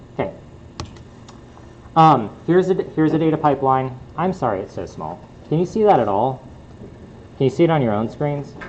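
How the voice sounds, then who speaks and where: A man talks at a fairly quick pace with lively intonation, and audible room echo surrounds his voice. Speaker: university lecturer. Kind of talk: lecture. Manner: hesitant, many fillers.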